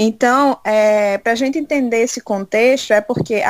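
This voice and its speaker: In a normal speaking voice, a woman talks at a fairly high pitch with ordinary pitch variation. The sound is dry and close, with no echo. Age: 20s. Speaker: church youth leader. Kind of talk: interview.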